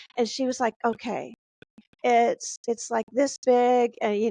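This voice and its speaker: A woman with an American accent speaks at a very slow pace. The sound is dry and close with no echo. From Texas, Houston. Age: 50s. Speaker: novelist. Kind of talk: interview. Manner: halting, many false starts.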